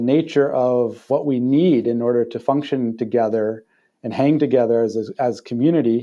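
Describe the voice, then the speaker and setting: A man speaks at a moderate pace in an unremarkable speaking voice. His pitch is medium, with ordinary pitch variation. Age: 40s. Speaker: non-profit executive director. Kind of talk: interview conversation.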